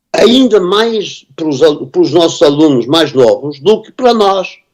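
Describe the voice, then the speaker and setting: With a European Portuguese accent, a man speaks at a high pitch using lively intonation. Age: 70s. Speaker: composer and music teacher. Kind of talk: conference panel discussion. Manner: halting, many repetitions and fillers.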